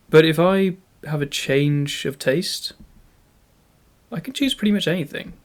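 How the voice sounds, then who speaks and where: Lively intonation in a British accent, at a fairly slow pace with long, frequent pauses. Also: man, high pitch for a man. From UK. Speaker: YouTuber. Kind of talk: scripted narration.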